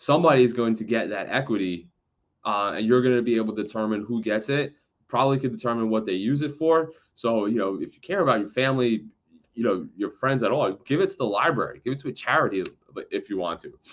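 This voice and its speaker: This man has a medium pitch and ordinary pitch variation, with an American accent. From New York City, the Bronx. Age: 30s. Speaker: real estate agent. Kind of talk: educational talk to camera. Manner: fast; casual, halting with fillers.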